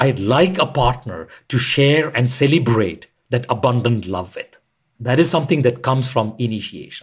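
A man's somewhat breathy voice rises and falls with lively intonation. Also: medium pitch for a man, moderate pace. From India. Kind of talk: podcast interview.

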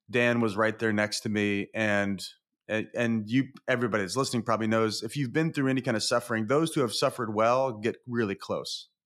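Here is a man with an ordinary speaking voice at medium pitch. He keeps a moderate pace and fairly even intonation. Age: 40s. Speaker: executive coach. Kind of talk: casual chat.

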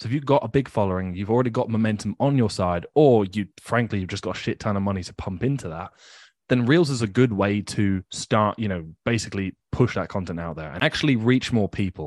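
A man with a plain, everyday voice talks at a fairly quick pace in a fairly low pitch with ordinary pitch variation. The sound is dry and close with no echo, over a quiet background. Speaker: podcast co-owner and coach. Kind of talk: casual conversation, podcast discussion.

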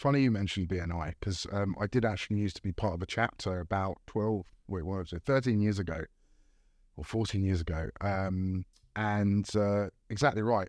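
A man with an ordinary speaking voice, fairly low in pitch, at a fairly quick pace with ordinary pitch variation, on a very clean recording with a silent background. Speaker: recruitment director and community co-founder. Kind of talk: casual chat.

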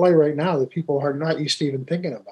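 A man with an American accent talks at a fairly quick pace in an unremarkable speaking voice, with a fairly high pitch and fairly even intonation. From US mill mining area. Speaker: podcast host and business consultant. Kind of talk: interview.

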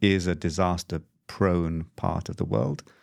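A man speaks in a very deep, low pitch with fairly even intonation. The sound is dry and close with no echo, on a very clean recording with a silent background. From Europe. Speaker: humanitarian regional director. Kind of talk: interview answers, conversational.

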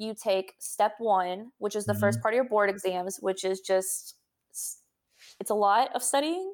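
Here is a woman with an unremarkable speaking voice at medium pitch. She moves at a moderate pace with ordinary pitch variation. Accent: American. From Texas, San Antonio. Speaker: doctor. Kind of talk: casual interview.

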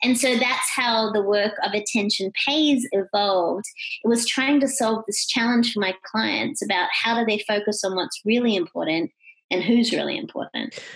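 With an Australian accent, a woman speaks at a fairly high pitch and ordinary pitch variation. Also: moderate pace. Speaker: keynote speaker and author. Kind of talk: interview. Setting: remote call.

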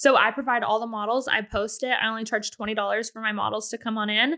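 A woman speaks at a fairly high pitch and a fairly quick pace with an American accent. Her tone is animated, bright and sharp. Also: very clean recording, silent background. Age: 20s. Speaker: waxing salon owner. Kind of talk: casual chat.

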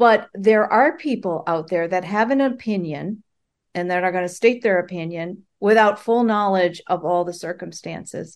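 A woman speaks with an American accent at a moderate pace, in a medium pitch with ordinary pitch variation. It is an unremarkable speaking voice, and the background is quiet. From US Midwest, Chicago. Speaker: author. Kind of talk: podcast interview.

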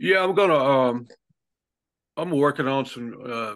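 A man speaks with a Southern US accent and a bright, sharp tone. The background is quiet. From southern Alabama, US South. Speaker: singer-songwriter. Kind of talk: casual interview. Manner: halting.

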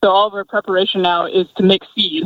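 A woman with an American accent speaks in a plain, everyday voice. Her pitch is medium and her pace moderate. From Michigan. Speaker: agronomist. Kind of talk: interview. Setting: in a parked truck in the field.

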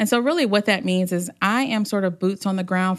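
A woman with an American accent speaks at a fairly quick pace in an unremarkable speaking voice, her pitch fairly low and her intonation fairly even, against a quiet background. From US South, Hampton, Virginia. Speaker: nonprofit outreach coordinator. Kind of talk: casual interview.

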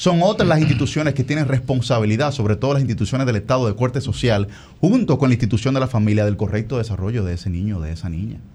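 A man talks very fast with lively intonation. His medium-pitched voice has a dark, mellow tone and sounds somewhat breathy. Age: 20s. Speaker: congressional candidate. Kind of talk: interview.

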